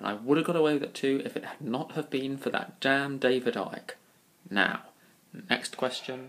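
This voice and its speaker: Speaking with a southern English accent, a man talks at a moderate pace, his pitch fairly high and intonation fairly even. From Kingston upon Thames, London. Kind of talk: casual talk to camera.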